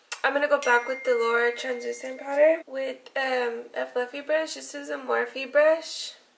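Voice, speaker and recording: Talking at a moderate pace with hardly any pauses, a woman with a high voice comes through over noticeable background noise. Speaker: beauty YouTuber. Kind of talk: makeup tutorial. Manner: casual, hesitant with fillers.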